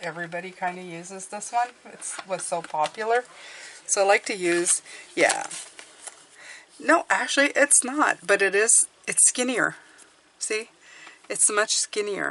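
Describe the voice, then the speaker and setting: The speaker talks at a fairly slow pace with a Quebec accent and ordinary pitch variation. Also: woman. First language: French. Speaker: tarot YouTuber. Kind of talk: casual product review. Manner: halting, many restarts.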